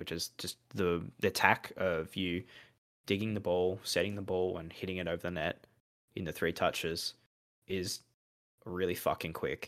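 Pausing long and often, a man with an Australian accent speaks at a very deep, low pitch in a monotone, flat intonation. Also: moderate pace. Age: 20s. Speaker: podcast co-host. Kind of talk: casual chat.

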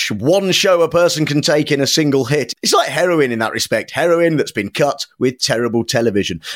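A man with a British accent and fairly high pitch, lively intonation, hardly any pauses, and a dry, close sound with no echo. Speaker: podcast host. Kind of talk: casual comedy podcast chat.

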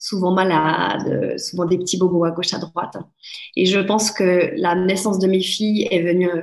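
In an unremarkable speaking voice of medium pitch, a woman talks at a fairly slow pace. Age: 30s. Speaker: life coach. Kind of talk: interview.

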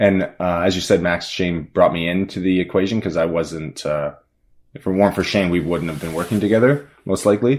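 A man's very deep, low voice at a fairly quick pace with ordinary pitch variation. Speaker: film director. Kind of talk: casual chat.

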